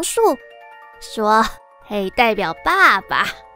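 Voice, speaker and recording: Over music in the background, a woman's voice comes through with a dry sound and no echo. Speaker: storyteller narrator. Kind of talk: story narration with character voices.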